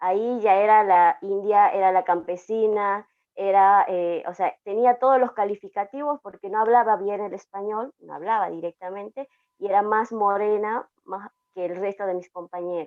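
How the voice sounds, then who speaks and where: A woman with an Andean accent speaks at a medium pitch and a moderate pace. Her intonation stays fairly even while her loudness swings widely. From Aymara highland communities, Andes. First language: Aymara (speaking Spanish). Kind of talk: panel discussion, personal testimony. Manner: hesitant, many fillers.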